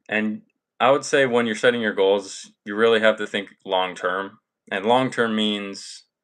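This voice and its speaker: Using a plain, everyday voice, a man speaks at a fairly low pitch with fairly even intonation. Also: fairly slow pace. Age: 20s. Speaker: self-improvement content creator. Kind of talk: live stream talk. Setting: live stream.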